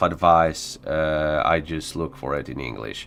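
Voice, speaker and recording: A man speaks with a Polish accent. His pitch is very deep and low. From Poland. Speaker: gaming streamer. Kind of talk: casual live stream chat. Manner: halting, many fillers.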